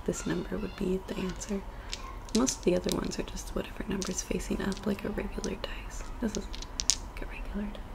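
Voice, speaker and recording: Soft-spoken at a moderate pace, the voice comes over noticeable background noise. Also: woman. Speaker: ASMR creator. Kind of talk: ASMR soft-spoken rambling. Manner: casual, rambling. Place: home room. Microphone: webcam.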